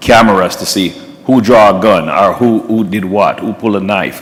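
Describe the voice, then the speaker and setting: A man with a Jamaican accent over noticeable background noise. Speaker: police officer. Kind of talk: panel discussion. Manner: halting, many repetitions.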